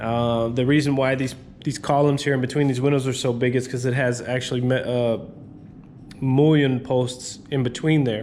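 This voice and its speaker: A man's monotone, flat delivery at a moderate pace, with audible room echo. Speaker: handyman business owner. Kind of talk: tutorial. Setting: on site in a building under renovation. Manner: halting, many fillers.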